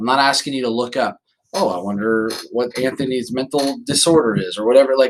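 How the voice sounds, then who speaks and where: Here a man speaks at a fairly quick pace. His pitch is medium, with ordinary variation. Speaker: college instructor. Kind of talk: lecture. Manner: fast; halting.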